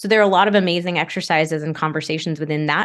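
A woman's very deep, low voice with lively intonation against a quiet background. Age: 30s. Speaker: sex therapist. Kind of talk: casual chat.

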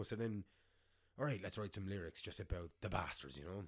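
This man has a Munster Irish accent. He talks at a very fast pace. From Ireland, Clonmel, Tipperary. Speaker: metal band frontman. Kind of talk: casual interview chat.

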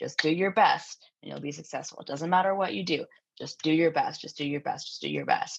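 This woman talks at a fairly quick pace. Her loudness swings widely. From California. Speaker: tech company executive. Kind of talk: panel discussion.

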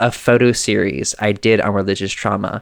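A man with an American accent uses an ordinary speaking voice, fairly low in pitch with fairly even intonation. He keeps a moderate pace on a very clean recording with a silent background. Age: 20s. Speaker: podcast host, abuse survivor. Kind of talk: interview.

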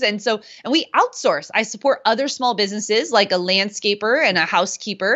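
A woman's fairly high voice at a moderate pace, with ordinary pitch variation, a plain, everyday voice. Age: 30s. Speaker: homeschooling parent. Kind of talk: podcast interview.

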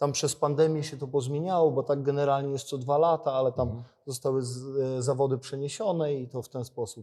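With a dark, mellow tone, a man speaks with ordinary pitch variation and big swings in loudness. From Poland, Biała Podlaska. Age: 40s. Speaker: winter swimmer and sports scientist. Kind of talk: casual interview. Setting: university sports facility. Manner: repetitive, halting.

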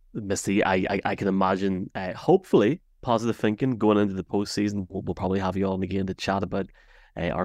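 A man's fairly low, monotone voice with flat intonation and an Irish accent, at a very fast pace, dry and close with no echo, against a quiet background. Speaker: sports podcast host. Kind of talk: casual chat.

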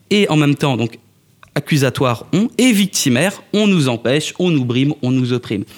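A man with a fairly high pitch and lively intonation keeps a very even loudness at a moderate pace, the sound dry and close with no echo. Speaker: political scientist, conspiracy theory researcher. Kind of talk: interview. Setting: festival VIP area.

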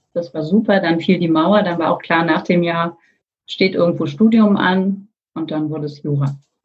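With an ordinary speaking voice, a woman talks at a fairly low pitch and with fairly even intonation. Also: moderate pace. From Germany, Berlin. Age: 50s. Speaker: coach and former corporate lawyer. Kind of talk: podcast interview.

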